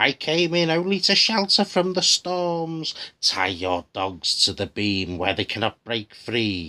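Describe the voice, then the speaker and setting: Using a put-on character voice with hissing, a man speaks at a fairly slow pace in a very clean recording with a silent background. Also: fairly high pitch for a man. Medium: read story. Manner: deceptive, switching from pleading to hissing threats.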